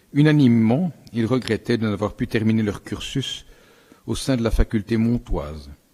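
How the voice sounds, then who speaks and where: A man with a Belgian accent speaks at a medium pitch and moderate pace, his tone dark and mellow. His intonation is lively, and the recording is very clean with a silent background. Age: 70s. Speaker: general practitioner and council member. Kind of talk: council speech. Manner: formal.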